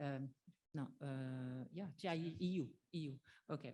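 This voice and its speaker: A woman speaks with a French accent and lively intonation. Her recording is very clean, with a silent background. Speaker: trade union representative. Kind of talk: conference closing summary. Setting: conference with audience. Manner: halting, many fillers.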